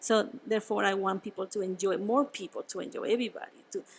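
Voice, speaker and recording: Fairly quick in pace, a woman talks in a fairly high pitch with ordinary pitch variation. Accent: Spanish. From Venezuela. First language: Spanish. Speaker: winemaker. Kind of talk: casual interview. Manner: halting, with repetitions.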